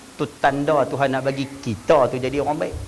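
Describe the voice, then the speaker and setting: An animated man with a strong northern Malaysian accent, amid noticeable background noise and audible room echo. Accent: thick northern Malay dialect. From northern Peninsular Malaysia. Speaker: religious preacher. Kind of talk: religious lecture. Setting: mosque hall with audience.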